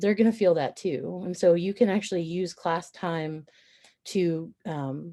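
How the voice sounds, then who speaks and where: A woman speaks in an ordinary speaking voice. Her pitch is fairly low, with ordinary pitch variation. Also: fairly slow pace, big swings in loudness. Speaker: college lecturer. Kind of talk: faculty training presentation. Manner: frequent fillers.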